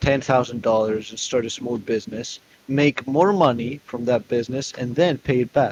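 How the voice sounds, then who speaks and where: A man with a non-native accent speaks at a medium pitch and a moderate pace against noticeable background noise. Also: dry, close sound with no echo. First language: not English. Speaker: debate opponent. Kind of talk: heated debate.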